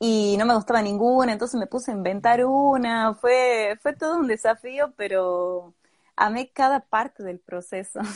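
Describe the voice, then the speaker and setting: Against a quiet background, a woman with a high pitch is heard in a dry, close sound with no echo. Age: 20s. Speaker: cosplayer. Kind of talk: interview. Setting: live video stream.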